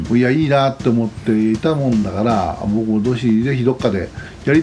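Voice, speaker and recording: With noticeable background noise, a man at a medium pitch speaks at a fairly quick pace. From Japan, Shizuoka (Fujinomiya, foot of Mt Fuji). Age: 60s. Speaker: forester and campsite owner. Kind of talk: casual interview.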